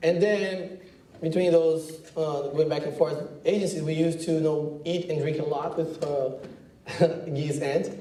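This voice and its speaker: A man's fairly high voice with a Brazilian accent at a fairly slow pace, fairly even intonation, audible room echo and noticeable background noise. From Brazil, countryside outside São Paulo. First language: Portuguese. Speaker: advertising creative director. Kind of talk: talk to students. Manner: casual, halting with fillers.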